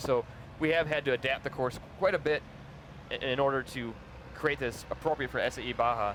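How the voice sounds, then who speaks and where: A man's medium-pitched voice with a slight Upper Midwest accent, fairly quick in pace yet broken by long, frequent pauses, over noticeable background noise. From Minnesota, US Midwest. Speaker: live event commentator. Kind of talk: live commentary.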